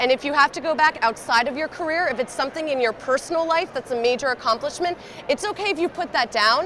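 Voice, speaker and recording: Over noticeable background noise, a woman talks loudly at a fairly quick pace, her high pitch carried by lively intonation. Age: young. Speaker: job search expert. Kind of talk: presentation.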